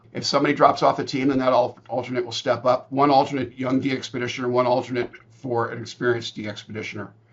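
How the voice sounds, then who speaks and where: Against noticeable background noise, a man of medium pitch talks at a very fast pace with hardly any pauses, his intonation monotone and flat while his loudness swings widely. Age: 70s. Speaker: ham radio expedition organizer. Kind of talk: interview.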